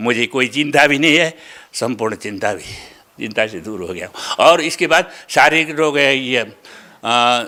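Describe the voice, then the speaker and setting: A man's bright, sharp tone at medium pitch, with lively intonation and big swings in loudness. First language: Nepali (speaking Hindi). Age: 70s. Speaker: religious follower. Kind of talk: testimony. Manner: halting.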